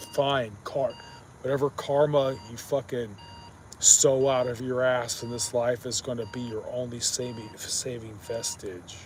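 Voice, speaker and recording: Over noticeable background noise, a man with a medium-pitched voice speaks at a fairly slow pace. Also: fairly even intonation. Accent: American. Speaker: live streamer. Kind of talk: casual live stream monologue. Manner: monotone; slurred.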